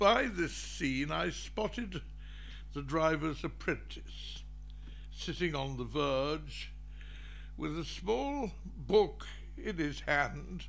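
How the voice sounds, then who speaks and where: Speaking very slowly, the man leaves long pauses often. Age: 80s+. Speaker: scholar of Persian poetry and Farsi teacher. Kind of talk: conference lecture. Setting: conference hall. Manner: crusty, gentlemanly.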